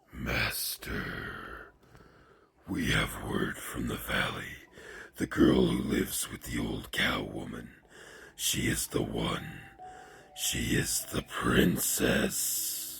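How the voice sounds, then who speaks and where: A man's put-on character voice, very deep and low, at a very slow pace with long, frequent pauses. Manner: subservient, reporting to a master.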